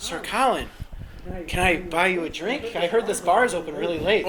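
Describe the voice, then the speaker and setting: A put-on character voice at a middle pitch moves at a moderate pace. Clear background noise is present. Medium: audio drama.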